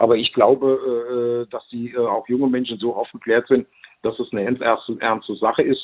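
A man speaking at a medium pitch. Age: 60s. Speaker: local politician. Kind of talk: interview. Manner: hesitant, many fillers.

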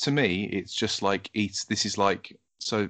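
Against a quiet background, a man talks in a normal speaking voice, fairly low in pitch, with fairly even intonation. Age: 30s. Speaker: podcast host. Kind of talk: casual interview chat; scripted podcast outro.

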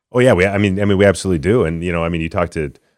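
A man with an Upper Midwest accent speaks in a very deep, low voice with ordinary pitch variation. The recording is very clean, with a silent background. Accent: Upper Midwest American. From Minnesota. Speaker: former football player, political candidate. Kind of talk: political interview. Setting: studio. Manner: halting, many repetitions.

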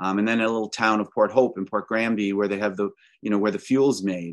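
A man with a Canadian accent speaks in a fairly low voice, using a plain, everyday voice. His intonation stays fairly even against a quiet background. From Canada (Ontario). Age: 60s. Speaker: environmental advocate. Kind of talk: interview.

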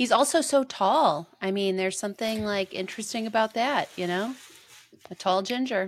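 A woman's fairly high-pitched voice at a moderate tempo, an ordinary speaking voice, with ordinary pitch variation. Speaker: podcast host. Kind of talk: casual chat.

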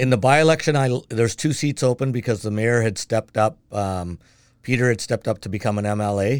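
With a Canadian accent and a normal speaking voice, a man talks at a fairly quick pace and medium pitch with ordinary pitch variation, in a very clean recording with a silent background. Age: 60s. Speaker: city council candidate, retired mail carrier. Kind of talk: casual interview conversation.

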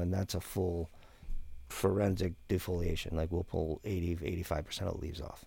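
In a very clean recording with a silent background, a man talks fairly quickly with a very deep, low pitch, a dark, mellow tone, monotone, flat intonation and a somewhat breathy sound. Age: 50s. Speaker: cannabis breeder and grow consultant. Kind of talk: casual interview.

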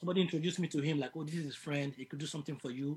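This man talks with fairly even intonation and a somewhat breathy quality. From Nigeria, Lagos. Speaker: musician. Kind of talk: interview.

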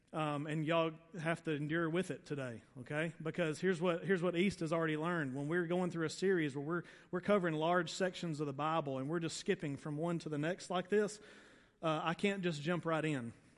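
With a Southern US accent, a man talks at a fairly high pitch and a fairly quick pace. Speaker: pastor. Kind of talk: sermon. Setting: church. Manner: fast; animated.

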